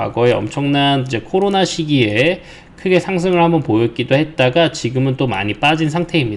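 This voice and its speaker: A man with an unremarkable speaking voice speaks at a fairly high pitch with lively intonation. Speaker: stock market commentator. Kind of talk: market commentary broadcast.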